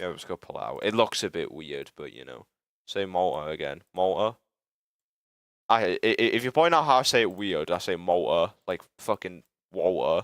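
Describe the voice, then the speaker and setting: Speech in a British accent moves at a moderate pace with big swings in loudness. The recording is very clean with a silent background and a dry, close sound with no echo. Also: man. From UK. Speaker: livestreamer and game developer. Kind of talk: live stream chat while working. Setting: live stream. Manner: casual, halting with frequent stammers.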